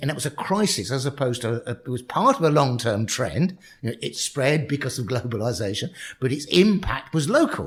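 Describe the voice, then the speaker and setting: A somewhat breathy man talks fairly quickly in a fairly high voice with lively intonation. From London, England. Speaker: professor. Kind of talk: podcast interview. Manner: halting, repeats words.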